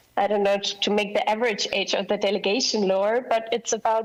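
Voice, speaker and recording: Against noticeable background noise, a woman with a fairly high pitch speaks at a moderate pace. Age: 20s. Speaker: youth delegate. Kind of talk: presentation.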